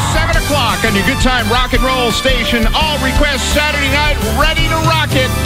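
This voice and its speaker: Loud music plays in the background as a man speaks at a moderate pace with hardly any pauses. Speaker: radio DJ. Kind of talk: radio DJ show patter, station promo. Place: studio. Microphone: studio mic.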